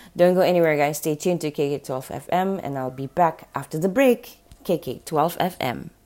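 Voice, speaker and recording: A woman speaks in an upbeat tone at a fairly quick pace. Her voice is very deep and low, with ordinary pitch variation. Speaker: radio host. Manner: upbeat, conversational, laughing, friendly banter.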